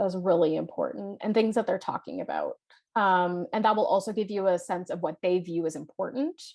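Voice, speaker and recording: Someone with a Canadian accent talks at a fairly quick pace with ordinary pitch variation. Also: woman, medium pitch for a woman. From Canada, Toronto (Scarborough). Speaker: life and leadership coach. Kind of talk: workshop presentation. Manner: loud; fast.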